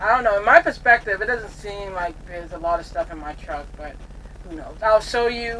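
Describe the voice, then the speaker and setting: A woman's intonation is lively as she talks at a moderate pace, with light background noise present. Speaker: truck driver vlogger. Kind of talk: casual vlog chat. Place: car. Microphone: camera far.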